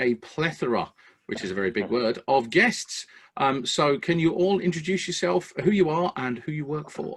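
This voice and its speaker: This man has an English accent and a fairly high pitch. His pitch swings very widely. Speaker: podcast host for electricians. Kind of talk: casual podcast chat.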